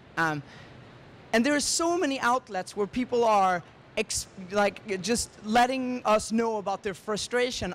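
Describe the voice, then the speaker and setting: In a Swedish accent, a man with a high pitch speaks at a fairly slow pace with lively intonation. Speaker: tech startup founder. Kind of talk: conference presentation.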